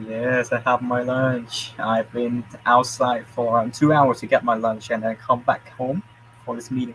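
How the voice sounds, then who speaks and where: A man speaks in a Vietnamese accent at a fairly slow pace and a medium pitch. His intonation is monotone and flat, with noticeable background noise behind him. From Vietnam, Da Nang. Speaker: university student. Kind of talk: casual chat.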